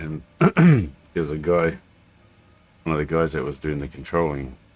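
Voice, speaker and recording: A man's very deep, low voice, monotone and flat, with vocal fry, at a moderate pace. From New Zealand. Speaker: flight sim streamer. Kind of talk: casual livestream chat. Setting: home, at a computer. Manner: halting, many fillers.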